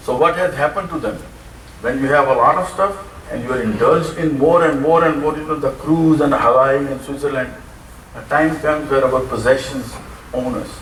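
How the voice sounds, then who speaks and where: The speech comes at a fairly quick pace, with noticeable background noise and audible room echo. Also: man, fairly high pitch for a man, fairly even intonation. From Pakistan. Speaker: preacher. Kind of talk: sermon.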